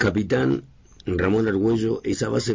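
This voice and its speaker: Speech comes at a very slow pace with lively intonation over noticeable background noise. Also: man. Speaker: radio host. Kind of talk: radio interview. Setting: radio studio.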